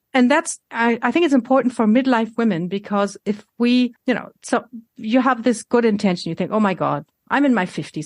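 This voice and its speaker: A woman talks at a fairly quick pace with lively intonation, using an ordinary speaking voice. The background is quiet. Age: 60s. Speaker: health coach. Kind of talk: casual chat.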